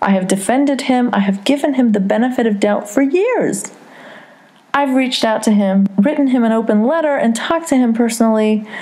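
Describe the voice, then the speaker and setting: The pitch moves in an ordinary way while noticeable background noise runs underneath. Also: woman. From Saudi Arabia. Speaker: podcast host. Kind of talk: casual chat.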